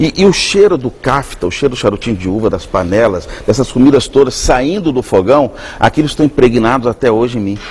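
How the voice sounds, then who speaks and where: With noticeable noise in the background, this man's fairly quick speech swings very widely in pitch. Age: 60s. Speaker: chef. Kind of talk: TV interview.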